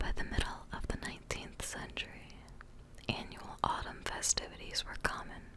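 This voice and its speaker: Whispering from a woman amid noticeable background noise. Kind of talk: whispered reading of informational text about holiday history. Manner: whispered.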